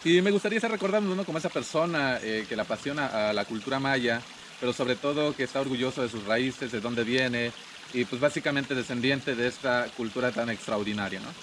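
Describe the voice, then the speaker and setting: A man speaks very fast, with lively intonation at a medium pitch, as noticeable background noise runs underneath. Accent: Chiapas. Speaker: tour guide. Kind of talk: interview. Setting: outdoor cabins venue in Palenque.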